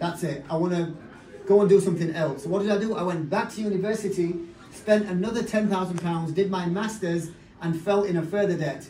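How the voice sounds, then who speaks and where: A man with a Yorkshire accent talks at a fairly quick pace in a high pitch, his intonation fairly even. Noticeable background noise and audible room echo fill the recording. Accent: Bradford, Yorkshire. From northern England, Bradford. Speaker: network marketing business leader. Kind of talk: motivational talk.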